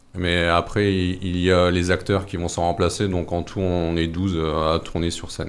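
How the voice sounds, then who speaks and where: A man speaks slowly at a fairly slow pace, his very deep, low pitch held in a monotone, flat intonation while noticeable background noise plays. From northern France, mining basin. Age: 40s. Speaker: singer and theatre company leader. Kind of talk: radio interview.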